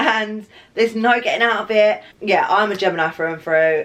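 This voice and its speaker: Over noticeable background noise, a woman with a fairly high pitch talks at a moderate pace, her pitch swinging very widely. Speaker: lifestyle vlogger. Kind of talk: casual chat. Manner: loud; animated.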